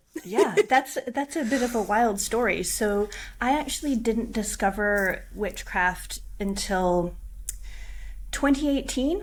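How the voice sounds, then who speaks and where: Speaking at a very slow pace, a woman with an American accent uses lively intonation. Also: fairly high pitch for a woman. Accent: American, noticeable to Scottish listeners. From US Pacific Northwest, Washington State. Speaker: witch, tarot reader and coach. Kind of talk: casual interview.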